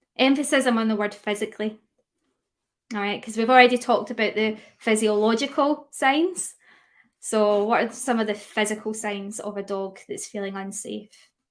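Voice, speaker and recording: A woman in a Scottish accent at a moderate pace, with ordinary pitch variation. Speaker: dog grooming educator. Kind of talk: webinar lecture. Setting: live stream. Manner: hesitant fillers.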